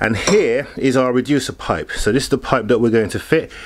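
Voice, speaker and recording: A fairly quick-paced male voice against light background noise. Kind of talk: tutorial. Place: garage. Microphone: camera far.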